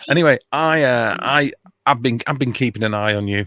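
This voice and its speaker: A man speaks with a British accent in a bright, sharp tone at a moderate pace. The recording is very clean and dry, close with no echo and a silent background. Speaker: online streamer and musician. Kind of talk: casual chat.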